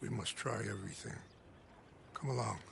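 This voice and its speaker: Over clear background noise, a man uses a raspy, put-on character voice at a medium pitch, speaking at a fairly quick pace in a calm tone. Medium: video game. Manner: calm, grave, measured.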